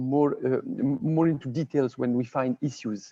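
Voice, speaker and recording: A man with a fairly high pitch speaks at a moderate pace in a dark, mellow tone, with ordinary pitch variation and a dry, close sound that has no echo. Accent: French. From France. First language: French. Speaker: water and sanitation expert. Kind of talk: webinar presentation. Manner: halting, with frequent repetitions.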